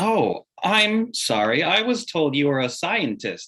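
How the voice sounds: A man's put-on character voice, fairly high and slow, with a bright, sharp tone and big pitch swings.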